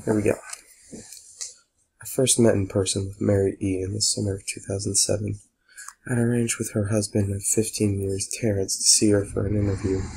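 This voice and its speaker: Whispering and soft-spoken, a man talks at a fairly quick pace with a somewhat breathy sound and long, frequent pauses. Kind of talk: soft-spoken creepypasta reading. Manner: soft-spoken, whispery.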